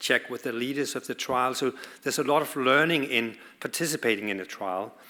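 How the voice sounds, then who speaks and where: This man has a Danish accent and a bright, sharp tone. He talks at a moderate pace with fairly even intonation. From Denmark. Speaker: pediatric oncologist. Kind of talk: conference talk.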